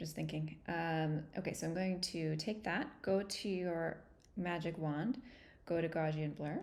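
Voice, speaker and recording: A woman speaks at a fairly slow pace with a fairly low pitch. Her intonation varies in an ordinary way, and there is audible room echo. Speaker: art teacher. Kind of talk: tutorial. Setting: livestream. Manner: casual.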